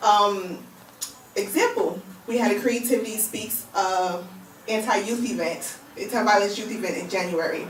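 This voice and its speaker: In a New York accent, the speaker moves at a moderate pace with long, frequent pauses, amid audible room echo and noticeable background noise. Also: woman, fairly high pitch for a woman. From Brooklyn, New York. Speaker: magazine founder. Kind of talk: radio interview. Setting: radio studio.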